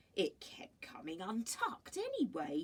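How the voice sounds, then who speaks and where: A woman performs a put-on character voice at fairly high pitch. She speaks at a moderate pace. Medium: read story. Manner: warm, reassuring.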